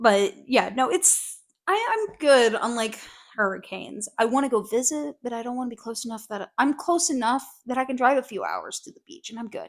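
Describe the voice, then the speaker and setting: A woman with a high-pitched voice. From US South, Georgia. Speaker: podcast co-host. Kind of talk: casual chat.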